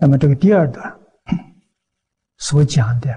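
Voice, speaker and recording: A man talks in a dark, mellow tone. His voice is somewhat breathy. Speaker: Buddhist monk teacher. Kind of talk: sermon. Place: studio. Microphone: lapel.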